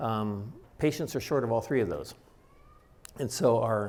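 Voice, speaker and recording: A man's medium-pitched voice at a fairly quick pace, with audible room echo. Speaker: doctor giving a public talk. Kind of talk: lecture. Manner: fast.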